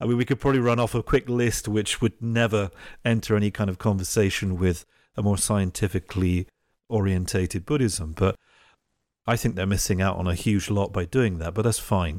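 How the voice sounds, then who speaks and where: Fairly low in pitch, a man with an English accent talks at a fairly quick pace with ordinary pitch variation. The sound is dry and close with no echo, in a very clean recording with a silent background. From England. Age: 40s. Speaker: podcast host. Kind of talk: interview.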